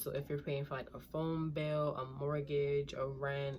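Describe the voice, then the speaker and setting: Using a fairly slow pace, a woman talks with a New York accent in a very deep, low pitch. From Brooklyn, New York. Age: 20s. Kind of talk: casual advice talk to camera.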